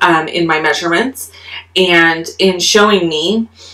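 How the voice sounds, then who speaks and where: Against a quiet background, a woman speaks with a fairly low pitch and fairly even intonation. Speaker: craft demonstrator. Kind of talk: tutorial aside, casual chat.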